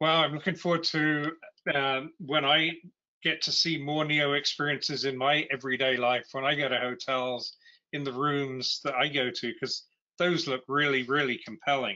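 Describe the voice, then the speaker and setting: A man's fairly high voice at a moderate pace, with fairly even intonation, against a quiet background. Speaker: podcast host. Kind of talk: interview. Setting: video call. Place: home room. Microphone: video call.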